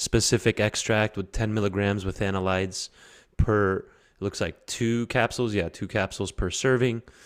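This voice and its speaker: A man with a plain, everyday voice speaks at a moderate pace in a fairly low pitch, his intonation fairly even, the sound dry and close with no echo. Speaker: podcast host. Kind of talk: podcast interview host talk.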